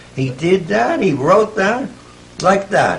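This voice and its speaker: A man speaks with an American accent. Noticeable background noise sits behind him. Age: 80s+. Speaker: author. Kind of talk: dinner conversation filmed at home. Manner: storytelling raconteur.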